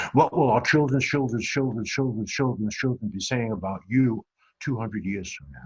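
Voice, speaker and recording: A man with an American accent speaks at a moderate pace and a medium pitch, with ordinary pitch variation. He sounds somewhat breathy, with big swings in loudness. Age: 70s. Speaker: author and business speaker. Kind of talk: motivational talk.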